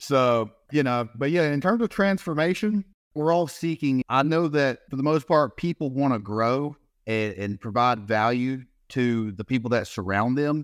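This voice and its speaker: A man with a Southern US accent talks at a moderate pace, with medium pitch and lively intonation. The recording is very clean, with a silent background and a dry, close sound with no echo. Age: 30s. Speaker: transformation coach and realtor. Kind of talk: casual interview chat.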